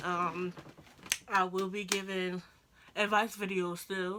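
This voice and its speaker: Very slowly, the voice delivers a bright, sharp tone with monotone, flat intonation. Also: woman. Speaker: YouTuber sharing personal stories. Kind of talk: casual storytime vlog. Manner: rambling, chatty.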